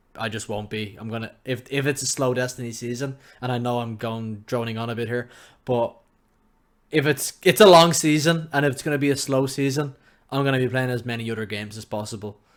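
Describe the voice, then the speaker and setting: A man speaks with an Irish accent. His pitch is medium, with ordinary pitch variation. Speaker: gaming podcast co-host. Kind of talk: casual chat. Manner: loud.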